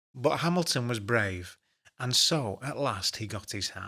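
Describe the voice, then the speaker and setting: A man speaking at a very slow pace. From Northern England. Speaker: voice over artist. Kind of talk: children's story read-aloud.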